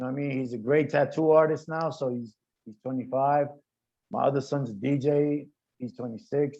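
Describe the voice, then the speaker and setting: With a New York accent, this voice has a dark, mellow tone, fairly even intonation, a fairly quick pace and big swings in loudness. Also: man, fairly high pitch for a man. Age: 50s. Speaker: graffiti artist. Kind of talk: panel discussion.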